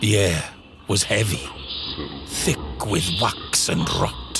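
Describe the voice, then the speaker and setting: Over music in the background, a man speaks at a very slow pace in a fairly low pitch with very wide pitch swings. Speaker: voice actor. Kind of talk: horror story narration.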